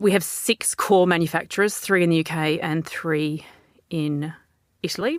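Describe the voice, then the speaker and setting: This woman's voice sits at a fairly low pitch. The recording is very clean, with a silent background. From Australia. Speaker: business founder. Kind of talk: interview.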